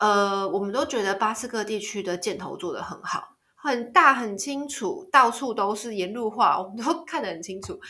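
An unremarkable speaking voice from a woman, fairly high in pitch, with lively intonation, big swings in loudness, a moderate pace and hardly any pauses. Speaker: travel podcaster. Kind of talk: casual monologue.

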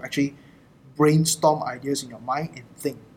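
A fairly quick pace and a somewhat breathy delivery. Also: man. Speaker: entrepreneur podcast host. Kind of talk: casual chat. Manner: halting.

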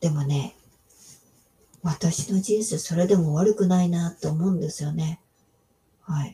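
Long pauses happen frequently. In between, the talking goes fairly slowly. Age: 60s. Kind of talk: devotional monologue. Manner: casual with many fillers.

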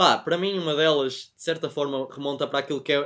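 A man with a European Portuguese accent speaks at a fairly quick pace. His pitch is fairly high and his intonation fairly even. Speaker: podcast co-host, film and series reviewer. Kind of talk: casual chat.

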